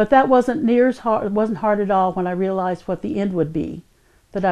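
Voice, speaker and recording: A woman's medium-pitched voice with an East Texas accent, a dark, mellow tone, ordinary pitch variation and a fairly quick pace. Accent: East Texas Southern US. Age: 60s. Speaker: kidney transplant patient. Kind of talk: testimony. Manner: hesitant with fillers.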